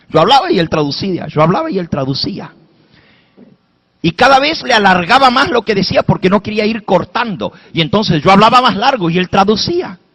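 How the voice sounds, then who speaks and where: A man with a high pitch speaks at a fairly quick pace in an animated tone with lively intonation. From Spanish-speaking, raised in an English-speaking country. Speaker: pastor. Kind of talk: sermon.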